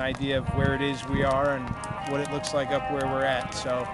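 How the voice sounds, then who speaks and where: Clear music sits in the background of a dry sound with no echo. A man talks at a fairly quick pace. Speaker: small farm owner vlogger. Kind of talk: casual vlog chat. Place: open country.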